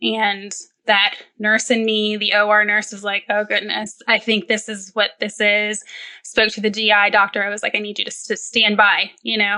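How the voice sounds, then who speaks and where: Here a woman's bright, sharp voice sits at medium pitch. She keeps a moderate pace with monotone, flat intonation. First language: Spanish. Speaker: perioperative nurse and children's book author. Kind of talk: podcast interview.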